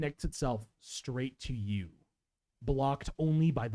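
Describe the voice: Someone reads the text plainly while the background stays quiet.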